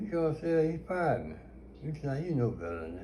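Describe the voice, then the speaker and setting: A man speaks with a somewhat breathy, dark, mellow tone. His pace is moderate. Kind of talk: storytelling interview answer.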